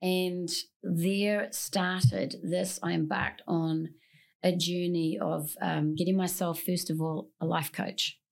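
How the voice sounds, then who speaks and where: Speaking very slowly in a New Zealand accent, a woman uses a fairly low pitch with ordinary pitch variation. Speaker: singer-songwriter and bag designer. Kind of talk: casual interview chat. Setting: studio.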